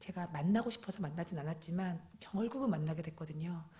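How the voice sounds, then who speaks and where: A woman's fairly low, somewhat breathy voice with ordinary pitch variation. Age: 40s. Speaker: guest preacher, cancer patient giving testimony. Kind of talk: testimony. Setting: church with congregation.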